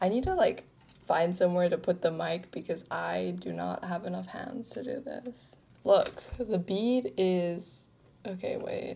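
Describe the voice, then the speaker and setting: The loudness of this woman's voice swings a lot. She talks at a fairly slow pace. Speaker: craft vlogger. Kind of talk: casual vlog narration. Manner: chatty, filler-heavy.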